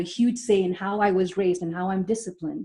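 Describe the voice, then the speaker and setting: A woman with an Indian accent talks at a very fast pace, at a medium pitch with ordinary pitch variation. Her tone is dark and mellow and somewhat breathy. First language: Malayalam. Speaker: psychologist. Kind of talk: webinar presentation. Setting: online webinar. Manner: hesitant, many fillers.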